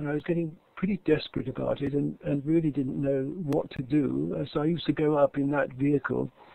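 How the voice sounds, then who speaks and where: With an English accent, a man talks fairly quickly in a fairly high pitch and a dark, mellow tone, the sound dry and close with no echo. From England. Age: 70s. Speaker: English teacher. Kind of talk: conference presentation. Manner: halting.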